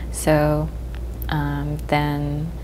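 A woman speaks over light background noise. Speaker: fine artist and muralist. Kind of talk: interview. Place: studio. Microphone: lapel.

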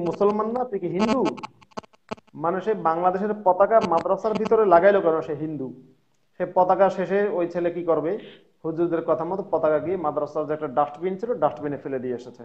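A man with a high voice speaks, his loudness swinging widely while his pitch varies in an ordinary way. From Bangladesh. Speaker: former madrasa student turned atheist commentator; guest. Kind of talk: casual conversation. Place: home room. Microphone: video call.

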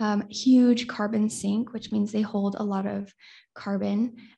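Over a quiet background, a woman speaks at a moderate pace, her voice fairly high, somewhat breathy and dark and mellow in tone, with fairly even intonation. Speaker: university student presenter. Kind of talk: conference lightning talk. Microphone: webcam.

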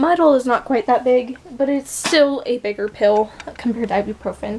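A woman talks in a high pitch, with light background noise behind her. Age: 20s. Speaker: vlogger. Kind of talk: casual vlog monologue; casual vlog chat. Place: home room. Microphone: phone near.

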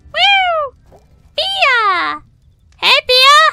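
In a put-on character voice, a woman squeaks at an extremely high pitch, the sound dry and close with no echo. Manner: loud, excited, calling out.

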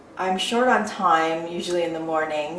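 A woman speaks over noticeable background noise. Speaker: beauty vlogger. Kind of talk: tutorial. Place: bathroom.

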